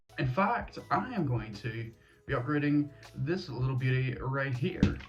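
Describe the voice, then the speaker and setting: Behind the speaker, music plays. He is a man with a voice of medium pitch. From Northern Ireland. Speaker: gaming YouTuber. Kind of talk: casual talk to camera.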